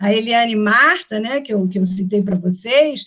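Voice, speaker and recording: Fairly high pitch from a woman speaking, the pace moderate. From Rio de Janeiro, Brazil. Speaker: professor. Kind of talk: lecture. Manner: hesitant, many fillers.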